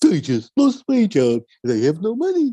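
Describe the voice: High-pitched, moderately paced, a put-on character voice from a man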